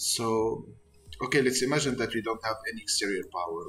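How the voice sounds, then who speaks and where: A man with a non-native accent, music playing in the background. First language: not English. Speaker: flight sim gamer. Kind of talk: tutorial. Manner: halting.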